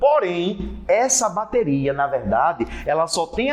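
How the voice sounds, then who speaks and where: A man's high-pitched voice with lively intonation, over noticeable background noise. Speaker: physics teacher. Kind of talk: lecture.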